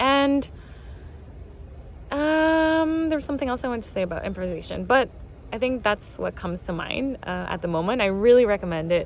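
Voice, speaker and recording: Against noticeable background noise, a woman with a fairly high pitch talks at a fairly quick pace, with long, frequent pauses, very wide pitch swings and big swings in loudness. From Venezuela. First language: Spanish. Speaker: multidisciplinary artist and musician. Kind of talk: casual vlog explanation. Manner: hesitant, many fillers.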